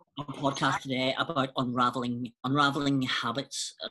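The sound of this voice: A man speaks at a medium pitch and moderate pace. His tone is bright and sharp, with little pitch movement.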